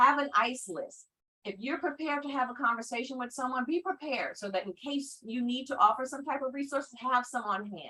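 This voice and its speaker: Raising and projecting her voice, a woman talks at a high pitch and a fairly quick pace, with a bright, sharp tone and ordinary pitch variation. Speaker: mental health educator. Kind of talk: online training presentation. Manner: fast.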